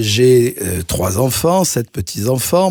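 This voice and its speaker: The voice belongs to a man and sits at a medium pitch. It has a dark, mellow tone. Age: 60s. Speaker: cardiologist and mayoral candidate. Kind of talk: radio interview.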